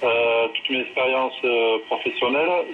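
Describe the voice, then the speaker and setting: Talking fairly slowly, a man is heard over noticeable background noise. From southwest France. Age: 40s. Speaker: rugby coach. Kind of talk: interview.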